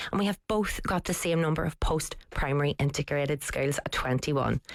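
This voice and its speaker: In a Northern Irish accent, the speaker goes at a fairly quick pace with ordinary pitch variation and very even loudness, and the sound is dry and close with no echo. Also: woman, very deep, low pitch for a woman. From Northern Ireland, Belfast. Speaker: writer and broadcaster. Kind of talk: radio discussion.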